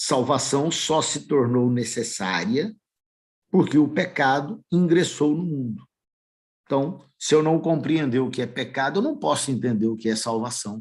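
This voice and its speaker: Against a quiet background, a man with an unremarkable speaking voice talks at a fairly slow pace and a fairly high pitch with lively intonation. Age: 60s. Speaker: lay preacher. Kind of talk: sermon.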